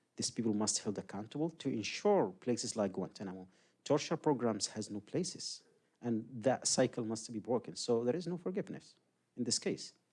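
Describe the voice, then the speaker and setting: A man's medium-pitched, dark, mellow voice with lively intonation at a fairly quick pace. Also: very clean recording, silent background. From Yemen. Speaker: human rights advocate and former prisoner. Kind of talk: public talk Q&A.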